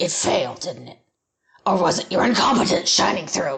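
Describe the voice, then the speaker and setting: At a middle pitch and a moderate pace, a raspy put-on character voice speaks. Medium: read story.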